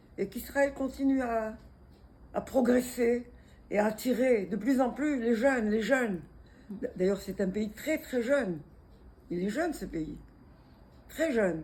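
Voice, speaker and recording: A woman's fairly high voice, dark and mellow in tone, with lively intonation, a fairly slow pace and long, frequent pauses. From Tunisia. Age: 80s+. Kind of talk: interview answer.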